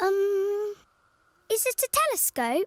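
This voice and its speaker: This is a cartoonish character voice at an extremely high pitch. Its tone is playful. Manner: bright, playful.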